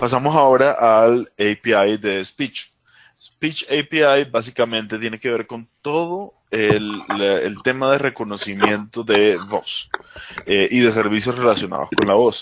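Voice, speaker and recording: A man at medium pitch, speaking at a fairly slow pace with ordinary pitch variation. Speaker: technology presenter. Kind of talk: webinar tutorial. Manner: hesitant, many fillers.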